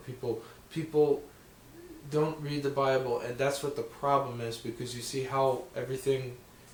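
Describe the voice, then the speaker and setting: A man speaks in a flat monotone at a medium pitch and a moderate pace, with audible room echo and noticeable background noise. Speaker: Bible video creator. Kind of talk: casual Bible talk. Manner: halting.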